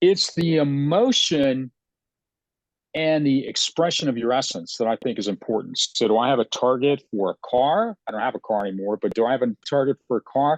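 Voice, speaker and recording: Against a quiet background, a man with an ordinary speaking voice talks at medium pitch with lively intonation, in a dry, close sound with no echo. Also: moderate pace. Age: 60s. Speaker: psychic astrologer and former athlete. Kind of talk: casual conversation on a live video stream. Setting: Facebook live video.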